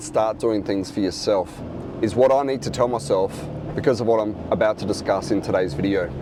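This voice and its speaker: This man talks at a fairly quick pace with an Australian accent. His pitch is medium, and background noise is noticeable. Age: 40s. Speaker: reseller. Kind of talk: casual talk to camera.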